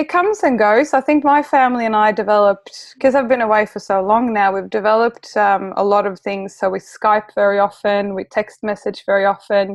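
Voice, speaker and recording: A woman with a Swedish accent talks at a fairly quick pace with hardly any pauses, her fairly high pitch showing ordinary pitch variation. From Sweden. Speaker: relocation coach. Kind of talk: interview.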